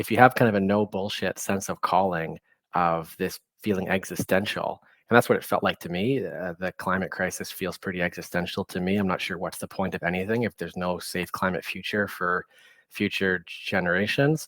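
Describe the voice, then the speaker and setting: A man with a very deep, low voice and a Canadian accent keeps his intonation fairly even in a dry, close sound with no echo. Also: very clean recording, silent background. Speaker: politician. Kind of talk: panel discussion.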